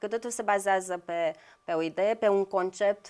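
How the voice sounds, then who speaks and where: A woman talks in an ordinary speaking voice. Her intonation is fairly even and her pace moderate. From Brăila, Romania; Romania. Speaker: visual artist; guest. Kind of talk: TV interview. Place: studio.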